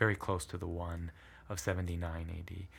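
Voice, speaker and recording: A man talks in a very deep, low voice. The recording is very clean, with a silent background. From southern Italy (Puglia), moved to US at eight. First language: Italian. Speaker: history professor. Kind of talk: interview conversation. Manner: thoughtful, hesitant with fillers.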